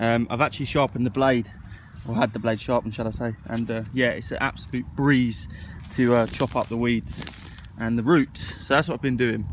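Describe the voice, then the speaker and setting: A man speaking at a fairly quick pace with fairly even intonation. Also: medium pitch for a man. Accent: English. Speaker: gardening vlogger. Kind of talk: casual vlog talk. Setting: outdoors on allotment.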